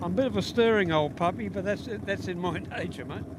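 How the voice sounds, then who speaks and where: A man speaks with an Australian accent. Audible room echo and noticeable background noise fill the recording. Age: 60s. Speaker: spectator and amateur drag racer. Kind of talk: trackside interview. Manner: halting.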